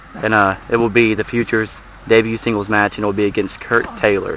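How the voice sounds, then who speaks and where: A man with a fairly low pitch talks at a fairly quick pace against noticeable background noise. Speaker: wrestling commentator. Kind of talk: live commentary. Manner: fast; animated.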